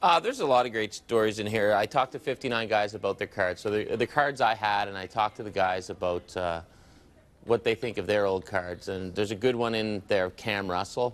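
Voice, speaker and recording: A man talks at a fairly quick pace with a fairly low pitch and ordinary pitch variation. It is an unremarkable speaking voice. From Nova Scotia, Canada. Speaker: sports broadcaster and hockey card collector. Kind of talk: casual interview. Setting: TV studio. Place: studio. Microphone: lapel.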